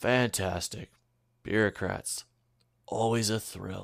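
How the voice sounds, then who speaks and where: In a put-on character voice, a man sounds raspy and fairly low, speaking at a fairly slow pace with fairly even intonation. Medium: read story. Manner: sarcastic, mocking.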